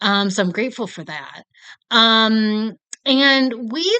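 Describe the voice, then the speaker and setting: A woman speaks very slowly in an American accent with a bright, sharp tone. The background is quiet. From United States. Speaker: film review vlogger. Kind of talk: casual chat. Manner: casual, filler-heavy.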